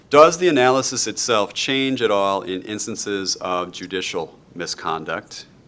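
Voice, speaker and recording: A man with a Wisconsin accent speaks in a fairly low pitch. His tone is bright and sharp, with lively intonation. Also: moderate pace. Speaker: law lecturer. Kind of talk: lecture. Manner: halting.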